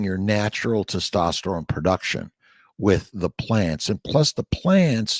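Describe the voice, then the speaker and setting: On a very clean recording with a silent background, a man's voice is dry and close with no echo. His intonation is lively. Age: 60s. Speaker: doctor. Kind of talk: casual chat. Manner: halting, repeats words.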